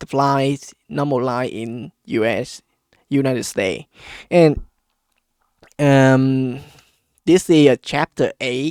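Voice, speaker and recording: Very slow male speech at medium pitch in a non-native accent, broken by long, frequent pauses, with a dry, close sound and no echo. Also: ordinary pitch variation. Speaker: politics and economy commentator. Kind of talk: casual explainer talk to camera. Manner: hesitant, many fillers.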